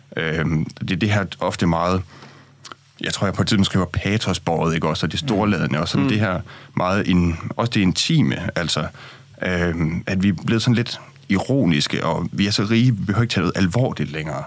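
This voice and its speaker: A man speaks at a fairly quick pace with a very deep, low pitch. His pitch varies in an ordinary way. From Denmark, Aarhus. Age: 20s. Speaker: opinion writer. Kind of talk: radio discussion. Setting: studio.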